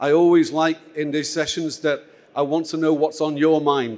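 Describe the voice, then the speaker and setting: A man talks at a fairly high pitch and a moderate pace. His intonation stays monotone and flat. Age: 60s. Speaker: conference moderator. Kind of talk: conference opening remarks. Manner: informal, many filler words.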